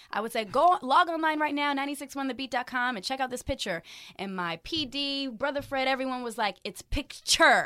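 Raised and projected, a woman's high, bright, sharp voice with an American accent moves at a fairly quick pace with lively intonation on a very clean recording with a silent background. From military family; grew up in Frankfurt, Germany, then Hampton, Virginia. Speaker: arena host and radio personality. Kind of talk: casual interview.

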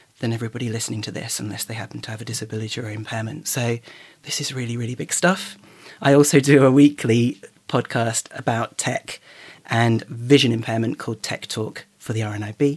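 A man in a British accent talks at a fairly quick pace with fairly even intonation. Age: old. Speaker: charity accessibility lead, blind tech user. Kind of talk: casual chat. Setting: remote call.

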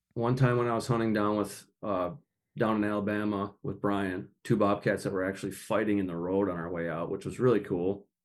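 Over a quiet background, a man with an American accent speaks at a fairly quick pace, at a fairly low pitch and with fairly even intonation. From Minnesota. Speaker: outdoor communicator. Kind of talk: casual chat.

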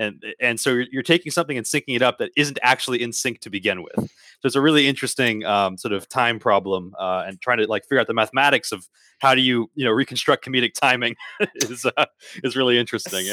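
Bright and sharp in tone, a man talks at a fairly quick pace and medium pitch with ordinary pitch variation. The very clean recording has a silent background and a dry, close sound with no echo. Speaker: podcast guest, theater technologist. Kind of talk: articulate, technical. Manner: fast talker.

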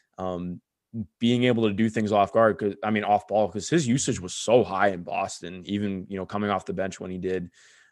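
Fairly quick and fairly low in pitch, a man talks with fairly even intonation in an unremarkable speaking voice. The background is quiet. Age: 20s. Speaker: sports podcast host. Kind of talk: casual chat.

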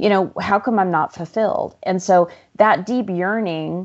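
Here a woman uses a normal speaking voice at a fairly low pitch, a moderate pace and ordinary pitch variation. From Arizona. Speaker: life coach and author. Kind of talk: interview conversation.

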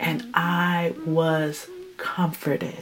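Noticeable background noise behind a woman with an American accent. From West Oakland, California. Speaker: guest house owner. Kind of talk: testimony.

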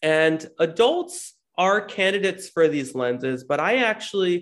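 At a fairly slow pace, a man with an ordinary speaking voice uses lively intonation at a fairly high pitch. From New Jersey, US. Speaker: optometrist. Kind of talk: interview.

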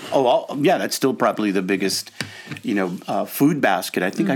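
A man with an American accent and a plain, everyday voice, medium in pitch, at a fairly quick pace. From Los Angeles, US. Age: 60s. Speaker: nonprofit consultant. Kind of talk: casual interview.

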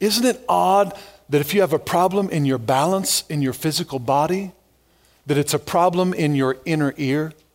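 Here a man speaks with a fairly high pitch and lively intonation. His pace is moderate. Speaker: pastor. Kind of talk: sermon. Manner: normally loud.

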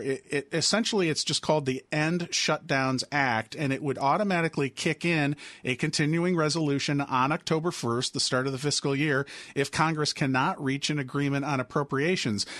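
A man with an unremarkable speaking voice talks at a fairly high pitch and moderate pace. The sound is dry and close with no echo, and his loudness stays very even. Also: quiet background. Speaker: political radio correspondent. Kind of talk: news interview.

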